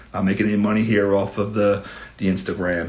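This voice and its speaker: A man with a New York accent and a fairly low pitch, with audible room echo. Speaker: criminal defense attorney. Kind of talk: live Q&A stream. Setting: live stream.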